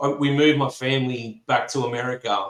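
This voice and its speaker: A man with an Australian accent at a moderate pace. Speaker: fencing supply business representative. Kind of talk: podcast interview.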